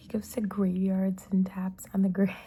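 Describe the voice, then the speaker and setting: Someone whispers, soft-spoken, at a fairly slow pace. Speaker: ASMR creator. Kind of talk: ASMR soft-spoken storytime. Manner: soft-spoken, whispered.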